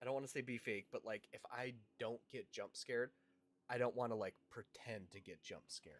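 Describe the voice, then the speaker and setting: A man with an American accent talks at a fairly quick pace, broken by long, frequent pauses. The sound is dry and close, with no echo. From Washington State, US. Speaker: gaming streamer. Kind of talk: live gameplay stream chat. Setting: livestream. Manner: animated.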